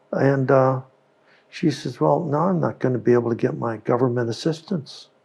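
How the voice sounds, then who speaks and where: A man speaks at a fairly quick pace with an American accent. His medium-pitched voice is somewhat breathy, with ordinary pitch variation. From US West Coast, Oakland, California. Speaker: company founder and inventor. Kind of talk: interview conversation. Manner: halting, repeats words.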